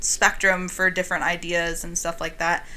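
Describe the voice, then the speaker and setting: A woman speaks at a moderate pace and medium pitch. Her tone is bright and sharp. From Cleveland, Ohio. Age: 30s. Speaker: podcast guest. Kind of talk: casual chat. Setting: studio.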